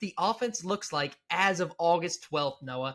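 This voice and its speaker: The voice has a bright, sharp tone and ordinary pitch variation at a moderate pace. It comes through a very clean recording with a silent background. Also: man. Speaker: sports podcast host. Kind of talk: casual sports discussion. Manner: animated; stumbling.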